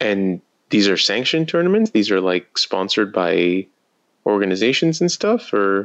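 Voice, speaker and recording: Using an unremarkable speaking voice, a man talks at fairly low pitch and a moderate pace, with lively intonation and very even loudness. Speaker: podcast host. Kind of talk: casual chat.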